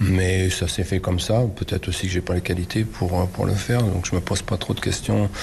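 This man's voice is very deep and low, with fairly even intonation and very even loudness. He talks at a fairly quick pace with hardly any pauses, over noticeable background noise. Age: 60s. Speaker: football coach. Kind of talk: interview. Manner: halting.

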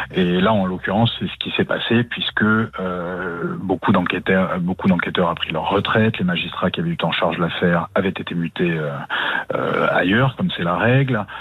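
A man's very deep, low voice at a moderate pace with ordinary pitch variation, amid noticeable background noise. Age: 40s. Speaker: journalist and author. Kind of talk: interview.

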